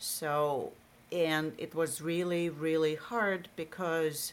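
Very deep, low pitch from a woman with a Russian accent and fairly even intonation. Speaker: marketing executive. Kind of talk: interview.

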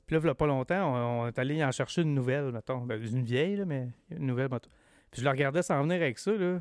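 Talking very fast, a man with a fairly high pitch uses ordinary pitch variation. The recording is very clean and dry, close with no echo, with a silent background. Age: 40s. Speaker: podcast guest. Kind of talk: casual chat.

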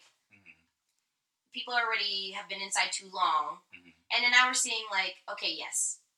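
A woman with a normal speaking voice and an American accent, medium in pitch, at a moderate pace, with ordinary pitch variation and big swings in loudness. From US. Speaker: podcast co-host. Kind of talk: casual chat. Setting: Instagram live stream.

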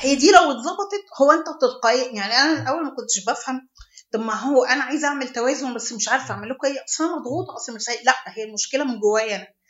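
A woman's high voice at a very fast pace, with ordinary pitch variation. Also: hardly any pauses, big swings in loudness. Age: 40s. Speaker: charity founder. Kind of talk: interview.

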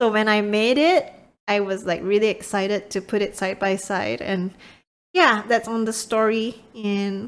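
Fairly high in pitch, a woman speaks at a fairly slow pace with fairly even intonation in a very clean recording with a silent background. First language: not English. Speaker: podcast co-host, gamer parent. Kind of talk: casual chat.

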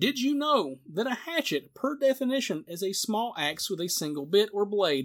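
Speaking at a moderate pace, a man uses a high pitch with very wide pitch swings. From US Southeast. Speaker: podcast host. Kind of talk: casual chat. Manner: animated.

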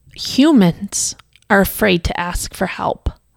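A woman is speaking. Her voice has vocal fry. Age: 40s. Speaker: podcast host. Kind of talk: unscripted personal monologue.

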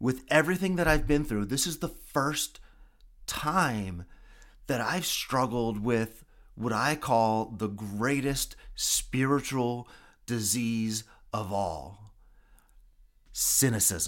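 Very slow speech with lively intonation and long, frequent pauses, in a very clean recording with a silent background. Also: man, medium pitch for a man. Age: 40s. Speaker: podcast host, cancer patient. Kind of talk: personal monologue. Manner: halting.

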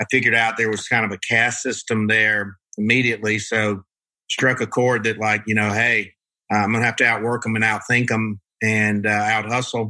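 This man has an American accent and a medium pitch, with a bright, sharp tone. He talks at a moderate pace in a monotone, flat intonation against a quiet background. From US South. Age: 50s. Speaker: marketing agency CEO and author. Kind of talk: interview.

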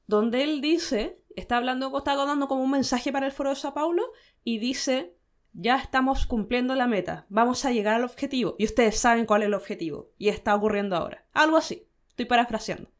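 A woman talks at a fairly quick pace with a Chilean accent, her pitch high and her intonation lively. The recording is very clean, with a silent background. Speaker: podcast co-host. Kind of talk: casual chat.

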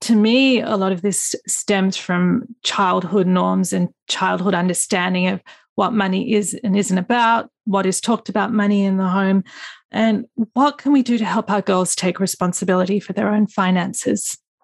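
A woman with an Australian accent speaks at a moderate pace and medium pitch, with fairly even intonation and very even loudness. The sound is dry and close with no echo over a quiet background. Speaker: podcast host. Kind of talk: interview.

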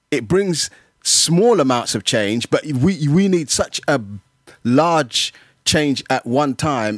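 A man with a South London accent speaks at a fairly high pitch with ordinary variation, the sound dry and close with no echo on a very clean recording with a silent background. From London (Brixton), African heritage. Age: 50s. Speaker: community mentor. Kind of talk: casual chat.

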